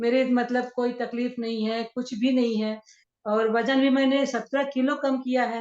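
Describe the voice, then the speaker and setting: A woman's high-pitched voice in a flat monotone. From central India, Shahdol, Madhya Pradesh. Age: 60s. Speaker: wellness coach. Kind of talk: interview testimony.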